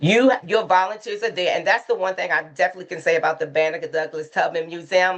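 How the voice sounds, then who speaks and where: A woman rattles along at a very fast pace with hardly any pauses, her medium-pitched voice rising and falling in an ordinary way. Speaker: consultant and museum docent. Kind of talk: webinar presentation. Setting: video call.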